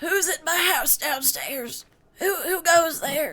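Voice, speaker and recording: In a put-on character voice, the speaker uses an extremely high pitch at a fairly slow pace. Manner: angry, gruff.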